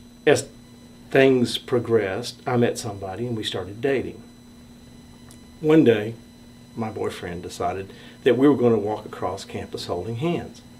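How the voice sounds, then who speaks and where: A man with a medium pitch and ordinary pitch variation speaks at a moderate pace with long, frequent pauses. Audible room echo fills the space. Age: 60s. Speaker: storyteller sharing coming-out story. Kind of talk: personal testimony.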